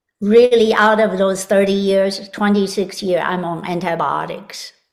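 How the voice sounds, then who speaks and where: A woman with a plain, everyday voice, medium pitch, fairly even intonation and a fairly slow pace. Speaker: health and vitality expert. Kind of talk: interview.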